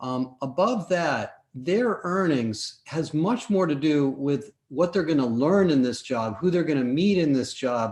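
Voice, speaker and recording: Fairly high-pitched, a man uses a normal speaking voice at a fairly slow pace with hardly any pauses. His intonation is lively while his loudness stays very even. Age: 60s. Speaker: business owner. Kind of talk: live show discussion. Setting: live stream.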